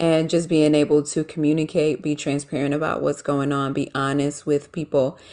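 Against a quiet background, a woman with a very deep, low pitch and a dark, mellow tone speaks at a moderate pace in monotone, flat intonation with hardly any pauses. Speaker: small business owner. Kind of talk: casual interview chat.

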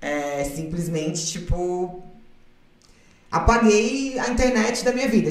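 Over noticeable background noise, a woman with a fairly low voice speaks at a fairly slow pace with lively intonation. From southern Brazil, Florianópolis. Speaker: model and former reality TV contestant. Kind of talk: casual interview chat.

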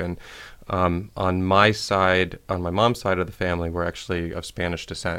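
The recording is very clean, with a silent background. A man speaks in a very deep, low pitch with a bright, sharp tone and monotone, flat intonation. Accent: American. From US Midwest, Ohio (Shaker Heights). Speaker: community development director. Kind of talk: radio interview. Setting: studio.

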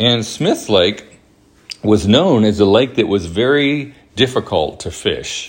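Noticeable background noise sits behind the voice. The man's pitch varies in an ordinary way. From US South, Alabama (Huntsville). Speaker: podcast host. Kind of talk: casual monologue. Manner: hesitant, many fillers.

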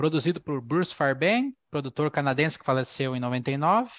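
A man speaks at a fairly slow pace. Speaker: podcast host. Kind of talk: casual chat; scripted narration.

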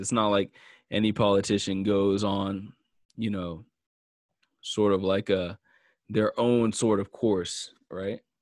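A man speaks at a very slow pace with a fairly low pitch and monotone, flat intonation. The recording is very clean, with a silent background. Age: 30s. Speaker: musician and solo podcast host. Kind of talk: casual solo commentary. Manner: casual, many fillers and restarts.

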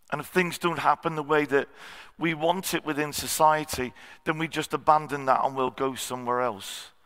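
The recording is very clean, with a silent background, as a man speaks at a moderate pace. His voice sits fairly high, with a bright, sharp tone and fairly even intonation. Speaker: visiting preacher. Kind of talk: sermon. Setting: church service with congregation.

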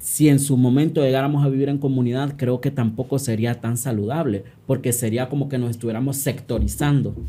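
A man talks at a fairly quick pace with hardly any pauses, his medium-pitched voice dark, mellow and somewhat breathy, with fairly even intonation. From Honduras, San Pedro Sula. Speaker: activist and social psychologist. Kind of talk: interview conversation.

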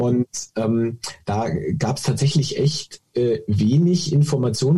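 At a fairly slow pace, a man speaks with a medium pitch and a dark, mellow tone. His voice is somewhat breathy, with lively intonation. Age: 40s. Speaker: golf coach and app founder. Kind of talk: interview.

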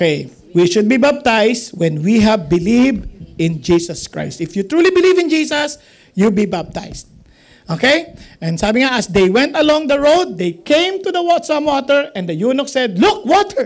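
Moderate pace with a Filipino accent. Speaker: pastor or Bible teacher. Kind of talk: Bible teaching to a live group.

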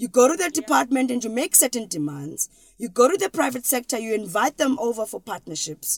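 A woman with a South African accent talks at a fairly quick pace, her high pitch swinging very widely, in a dry, close sound with no echo. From South Africa, Eastern Cape. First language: isiXhosa. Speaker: educational strategist. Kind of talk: interview.

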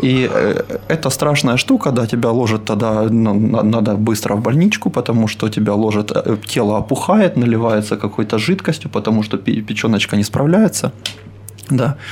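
Against noticeable background noise, the voice moves at a moderate pace with ordinary pitch variation and very even loudness. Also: man, medium pitch for a man. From Ukraine, Dnipro. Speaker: crossfit coach. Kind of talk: casual interview.

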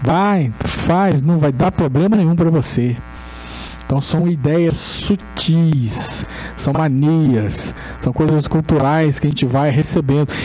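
Over noticeable background noise and audible room echo, a man with a fairly high pitch talks very slowly, with ordinary pitch variation and very even loudness. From Brazil, Resende (Rio de Janeiro state). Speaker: spiritist lecturer. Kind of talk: lecture. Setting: spiritist center hall with audience.

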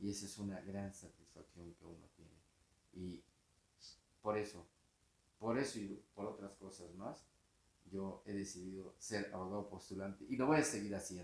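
A man with a fairly low pitch talks at a moderate pace, his intonation fairly even but his loudness swinging widely, with long, frequent pauses. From Mexico, Tapachula, Chiapas. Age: 60s. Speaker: criminal defense lawyer and professor. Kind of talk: interview.

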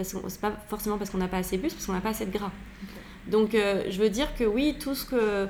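Audible room echo surrounds a woman's voice. Her pitch is medium and her intonation fairly even. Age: 40s. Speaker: nutritionist. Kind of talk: casual interview. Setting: at her home.

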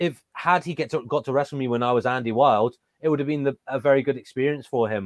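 Delivered at a very fast pace in an English accent, the speech has ordinary pitch variation and a dry, close sound with no echo. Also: man, medium pitch for a man. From England. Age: 30s. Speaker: professional wrestler and trainer. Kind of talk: interview.

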